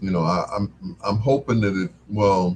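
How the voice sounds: With a low pitch, ordinary pitch variation and a slightly mellow tone, a man talks at a moderate pace.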